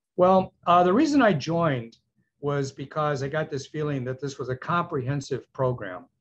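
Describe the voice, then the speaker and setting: Moderately paced male speech, somewhat breathy and fairly high in pitch. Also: ordinary pitch variation. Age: 70s. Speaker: dentist, program client. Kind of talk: testimonial interview. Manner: enthusiastic, halting with fillers.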